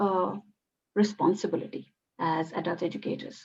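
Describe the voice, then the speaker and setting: In a Bengali accent, a woman speaks at a medium pitch with fairly even intonation. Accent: Indian English (Bengali). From India, West Bengal (Calcutta). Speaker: PhD student in adult education. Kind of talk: academic group discussion. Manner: halting, many fillers.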